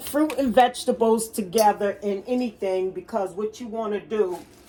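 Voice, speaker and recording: A woman speaks at a fairly high pitch and a fairly slow pace. Noticeable background noise can be heard. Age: 60s. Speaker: cooking and wellness vlogger. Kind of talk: casual kitchen demonstration. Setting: home kitchen. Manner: rambling, conversational.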